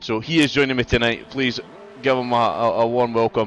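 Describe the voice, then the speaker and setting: A man in a Scottish accent speaks at a fairly quick pace with fairly even intonation. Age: 40s. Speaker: sim racing league commentator. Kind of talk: live commentary.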